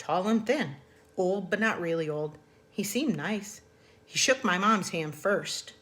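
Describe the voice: Ordinary pitch variation in plain reading aloud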